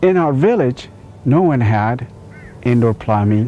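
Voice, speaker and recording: Lively intonation rides on speech at a moderate pace. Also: man. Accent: Ethiopian. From Ethiopia. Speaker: inventor telling his life story. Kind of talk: storytelling speech.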